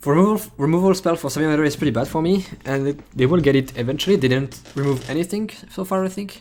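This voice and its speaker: Someone with a French accent speaks at a very fast pace. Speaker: streamer playing a card game. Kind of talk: live gameplay commentary. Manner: thinking aloud, casual.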